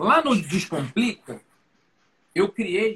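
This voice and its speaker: A man's raised, projected voice, high-pitched and bright with a sharp tone. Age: 40s. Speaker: learning designer and speaker. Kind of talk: casual interview on a live stream.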